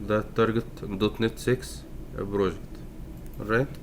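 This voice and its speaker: A man with a fairly low pitch speaks in a non-native accent. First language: not English. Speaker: programming tutorial maker. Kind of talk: tutorial. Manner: slow; halting, many fillers. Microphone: poor sound quality.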